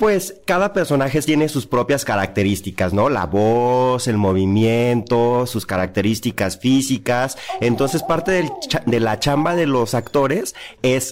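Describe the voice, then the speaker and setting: With very wide pitch swings around a medium pitch, a man speaks at a fairly slow pace. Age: 40s. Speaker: actor and playwright. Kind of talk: interview.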